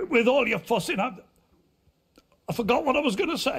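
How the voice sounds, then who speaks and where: Using a put-on character voice, a man sounds gruff at an extremely high pitch, talking fairly quickly with very wide pitch swings. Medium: video game. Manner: gruff, blunt, swearing.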